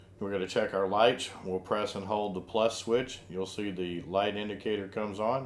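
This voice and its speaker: In a normal speaking voice, a man talks fairly quickly at a fairly low pitch. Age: 60s. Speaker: RV lifestyle vlogger. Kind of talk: product tutorial. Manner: casual, with fillers.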